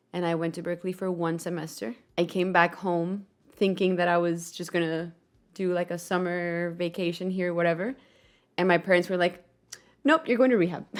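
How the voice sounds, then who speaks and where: A woman with a fairly low pitch speaks in fairly even intonation on a very clean recording with a silent background. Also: fairly quick pace. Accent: Spanish. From Colombia. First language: Spanish. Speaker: podcast host and musician. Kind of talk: casual chat.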